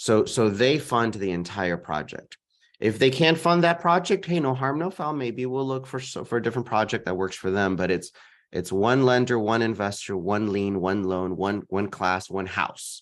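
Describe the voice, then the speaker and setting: A normal speaking voice with an American accent, lively intonation and a moderate pace, in a quiet background. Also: man, medium pitch for a man. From Texas, San Antonio. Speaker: real estate investor. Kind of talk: interview.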